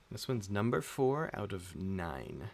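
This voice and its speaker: The man's pitch is very deep and low. Vocal fry runs through his voice. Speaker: streamer. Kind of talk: casual chat. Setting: live stream at home. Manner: calm; quiet.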